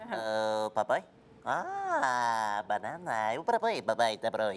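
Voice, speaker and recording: The speaker uses a put-on character voice, pitched low and delivered at a very slow pace. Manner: gibberish, playful.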